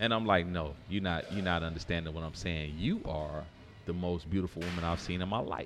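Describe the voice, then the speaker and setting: Over music in the background, a man with a very deep, low pitch and an American accent speaks with fairly even intonation. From Detroit and New York (from age 14). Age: 40s. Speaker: former firefighter and restaurant owner. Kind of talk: casual chat. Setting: live recording at a downtown venue.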